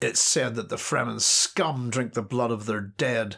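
A growling, put-on character voice moves at a moderate pace. Its loudness stays very even. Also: man, medium pitch for a man, ordinary pitch variation. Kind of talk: contemptuous, scornful. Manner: angry.

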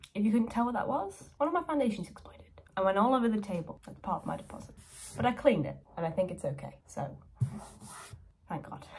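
A woman speaks at a very fast pace yet with long, frequent pauses. Her pitch swings very widely, her loudness varies greatly, and light background noise is present. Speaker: lifestyle vlogger. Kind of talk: casual vlog talk to camera. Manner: chatty, casual. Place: home room. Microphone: phone near.

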